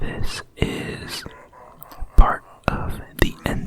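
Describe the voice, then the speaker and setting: Whispering amid noticeable background noise. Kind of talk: ASMR gaming commentary. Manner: whispered.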